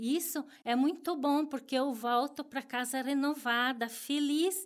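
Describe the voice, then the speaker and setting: The recording is very clean with a silent background, and the woman's voice shows ordinary pitch variation. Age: 50s. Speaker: homemaker. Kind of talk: interview. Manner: halting, many repetitions and fillers.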